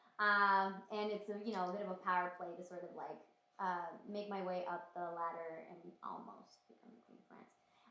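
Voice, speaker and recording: Moderate pace, monotone, flat intonation and big swings in loudness, with audible room echo and noticeable background noise. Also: woman, medium pitch for a woman. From Romania. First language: Romanian. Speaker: actress. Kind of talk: casual interview chat.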